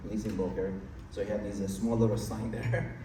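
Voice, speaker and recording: Amid noticeable background noise and audible room echo, a man with a fairly low pitch speaks at a fairly quick pace with fairly even intonation. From Iran. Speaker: real estate investor. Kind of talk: interview on stage.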